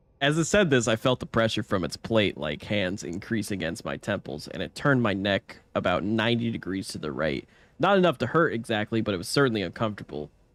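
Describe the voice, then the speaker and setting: In a strained, put-on character voice, a man rattles along at a very fast pace with medium pitch. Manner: speaking while inhaling, strained.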